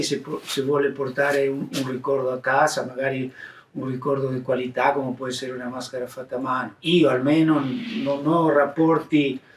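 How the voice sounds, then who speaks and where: Speaking at a moderate pace, a man holds a fairly high pitch in a monotone, flat intonation. Noticeable background noise runs behind him. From Argentina. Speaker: mask maker. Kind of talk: interview answer.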